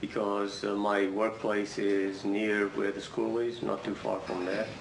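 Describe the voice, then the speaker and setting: Speaking at a fairly slow pace, a man's voice sits fairly low and stays monotone and flat. Audible room echo and noticeable background noise surround him. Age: 60s. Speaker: trial witness, IT manager. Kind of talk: courtroom testimony. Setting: courtroom.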